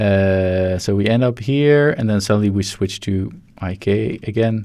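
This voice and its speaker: A man mumbles in a Dutch accent. His pitch is fairly low with ordinary variation. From Netherlands. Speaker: 3D animator. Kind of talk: live-stream tutorial. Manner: mumbling; halting.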